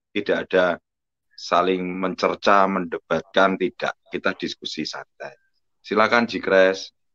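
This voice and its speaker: A man speaks very slowly at a fairly low pitch. His tone is bright and sharp, and the sound is dry and close with no echo. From Indonesia, Surabaya (East Java). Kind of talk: live online religious discussion. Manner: loud, forceful delivery.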